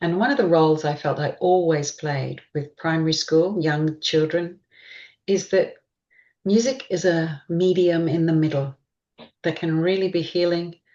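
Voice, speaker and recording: A dark, mellow tone in an Australian accent, at a moderate pace with ordinary pitch variation. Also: woman, fairly low pitch for a woman. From Queensland, Australia. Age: 60s. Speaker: gestalt therapist. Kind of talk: interview.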